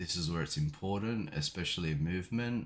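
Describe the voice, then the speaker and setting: A man speaks quietly, with ordinary pitch variation. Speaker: gaming YouTuber. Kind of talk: tutorial. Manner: casual, hesitant fillers.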